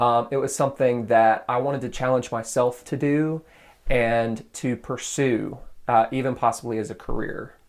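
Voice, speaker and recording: The recording is very clean with a silent background. A man with an American accent speaks at medium pitch and a moderate pace with fairly even intonation. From US South, Nashville suburbs, Tennessee. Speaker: graphic artist. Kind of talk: interview.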